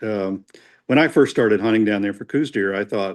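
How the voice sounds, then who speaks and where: A man with an Indiana accent speaks at fairly low pitch and a moderate pace. The background is quiet. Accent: Hoosier. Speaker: archery collector and historian. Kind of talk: casual chat. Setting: podcast recording.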